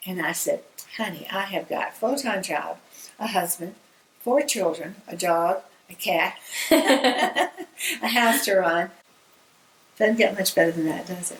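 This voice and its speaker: A woman with a Southern US accent speaks at a fairly slow pace and a medium pitch, with lively intonation, long and frequent pauses, and noticeable background noise. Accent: Southern US drawl. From Georgia, US South. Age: 80s+. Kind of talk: interview answer.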